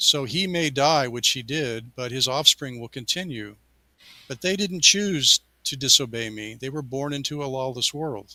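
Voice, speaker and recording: A man's fairly high, bright and sharp voice at a moderate pace, with ordinary pitch variation and big swings in loudness. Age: 60s. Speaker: science fiction author. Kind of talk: interview. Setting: studio. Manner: halting.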